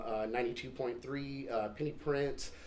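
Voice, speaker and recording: A man speaks with an American accent. Noticeable background noise and audible room echo surround him. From California, Stockton. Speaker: stand-up comedian. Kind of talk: casual interview.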